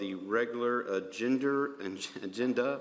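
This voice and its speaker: Someone with an American accent talks at a moderate pace with fairly even intonation over noticeable background noise. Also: man. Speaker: county commission chairman. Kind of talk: public meeting chairing. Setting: commission chambers. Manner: halting.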